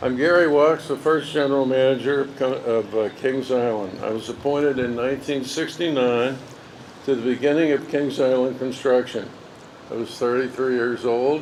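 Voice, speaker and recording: Over noticeable background noise, a man at medium pitch speaks at a moderate pace with fairly even intonation. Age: 80s+. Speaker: park founder and former general manager. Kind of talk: ceremony speech. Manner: halting.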